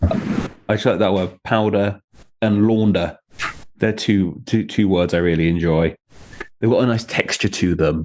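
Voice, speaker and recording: With a southern English accent, a man speaks at a fairly slow pace and fairly low pitch, keeping his loudness very even and his intonation fairly even. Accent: southern English (British English). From southeast England. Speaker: name origins video creator and author. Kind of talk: casual chat.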